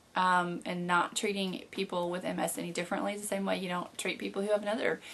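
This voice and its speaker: A woman with a Southern US accent speaks at a medium pitch. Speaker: video blogger living with MS. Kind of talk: casual video blog Q&A. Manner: frequent fillers (um, uh).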